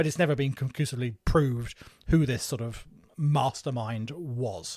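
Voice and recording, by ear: A man with an English accent speaks at a moderate pace in a somewhat breathy voice of medium pitch and ordinary pitch variation.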